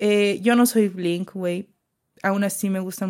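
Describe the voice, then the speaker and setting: On a very clean recording with a silent background, a soft-spoken woman talks very slowly in a medium pitch with fairly even intonation. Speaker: podcast host. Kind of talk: casual chat. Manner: soft-spoken most of the time.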